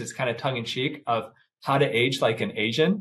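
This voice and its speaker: A man with an American accent speaks at a moderate pace, sounding somewhat breathy. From US Midwest. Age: 50s. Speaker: plastic surgeon. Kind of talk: casual chat. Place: office. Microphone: lapel.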